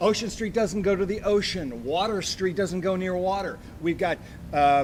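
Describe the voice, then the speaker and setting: Noticeable background noise surrounds a man with a high-pitched voice. He speaks at a moderate pace with ordinary pitch variation. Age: 60s. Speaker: comedian and show producer. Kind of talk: casual chat. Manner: animated.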